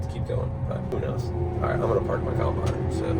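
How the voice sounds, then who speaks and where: A man is speaking. Noticeable background noise runs under his voice. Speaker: custom wheat harvester vlogger. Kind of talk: casual vlog narration. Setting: in a combine cab. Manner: loud, raised voice.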